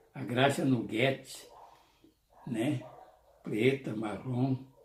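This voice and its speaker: A man's medium-pitched voice, somewhat breathy, with a dark, mellow tone. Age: 70s. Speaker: YouTuber. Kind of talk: nostalgic casual monologue to camera.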